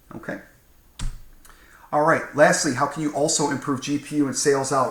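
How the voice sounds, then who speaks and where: A man at a medium pitch and a fairly quick pace. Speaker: automotive parts trainer. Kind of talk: recorded training presentation. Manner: fast.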